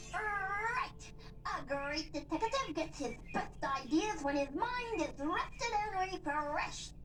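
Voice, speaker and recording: An extremely high-pitched cartoonish character voice at a fairly slow pace, over loud background noise. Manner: overeager, dramatic.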